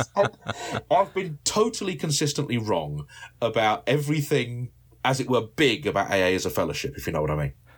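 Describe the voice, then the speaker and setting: A man talks at a fairly quick pace with vocal fry and very wide pitch swings. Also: medium pitch for a man. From South London. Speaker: recovering alcoholic. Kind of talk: testimony.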